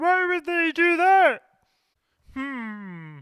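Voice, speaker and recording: A man puts on a cartoonish character voice. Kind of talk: fictional dramatization monologue. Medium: puppet.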